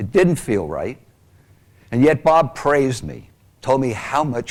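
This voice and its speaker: With vocal fry, a man talks at a fairly slow pace. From Long Island, New York. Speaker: abuse survivor speaker. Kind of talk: testimony.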